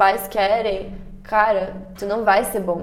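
A woman talks at a medium pitch and a very slow pace, with a monotone, flat intonation. Room echo is audible. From Brazil. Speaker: entrepreneur, former exchange student. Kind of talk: casual interview.

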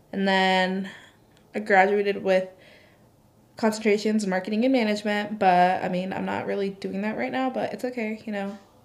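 Here a woman speaks in a plain, everyday voice at a moderate pace. Her intonation is fairly even. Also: medium pitch for a woman. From immigrant to the US. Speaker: podcast guest, host's sister. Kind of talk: casual chat.

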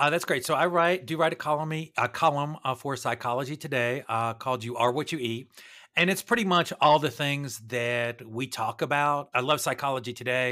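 A man speaks at a fairly quick pace with a fairly high pitch and an American accent, showing ordinary pitch variation. It is a plain, everyday voice, in a very clean recording against a silent background. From US Northeast. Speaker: cardiologist and chef. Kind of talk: interview.

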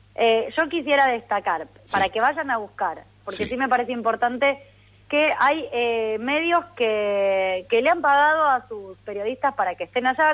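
Her pitch high and her intonation lively, a woman speaks at a fairly slow pace. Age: 30s. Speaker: football pundit. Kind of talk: casual chat.

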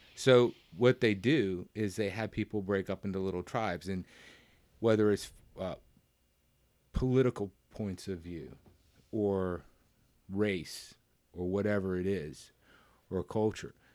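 Fairly low-pitched man with a Southern US accent, fairly slow pace, long, frequent pauses, and ordinary pitch variation, in a very clean recording with a silent background. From US South. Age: 40s. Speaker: podcast guest, coworker of host. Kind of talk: casual chat.

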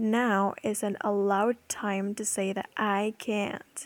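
A woman with a non-native accent speaks at a medium pitch, the sound dry and close with no echo. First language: not English. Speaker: podcaster. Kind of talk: personal monologue. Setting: home recording.

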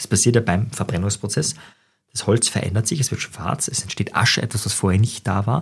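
Somewhat breathy and fairly low in pitch, a man talks at a fairly quick pace with ordinary pitch variation. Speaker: psychologist and NLP trainer podcast host. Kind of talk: solo monologue podcast. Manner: fast.

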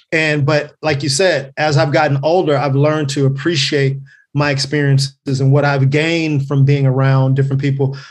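In an American accent, a somewhat breathy voice speaks at a moderate pace in a flat monotone with very even loudness, over audible room echo. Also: man, fairly high pitch for a man. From Los Angeles, California (Carson). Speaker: comedian. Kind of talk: casual chat.

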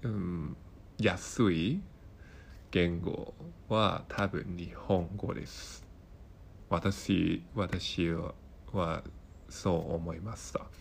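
Somewhat breathy and at a very slow pace, the speaker talks with long, frequent pauses, ordinary pitch variation and a Hong Kong accent. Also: man, very deep, low pitch for a man. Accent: Hong Kong Cantonese accent in Japanese. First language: Cantonese (speaking Japanese). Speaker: Japanese learner podcaster. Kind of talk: casual monologue. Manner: halting, many fillers.

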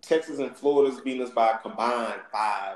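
This man speaks with a Southern US accent. His pace is moderate and his intonation lively. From US South. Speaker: sports podcast host. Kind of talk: casual chat.

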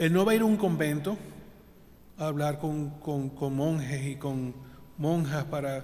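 A man speaks with ordinary pitch variation. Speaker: deacon. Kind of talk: homily. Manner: earnest, instructive.

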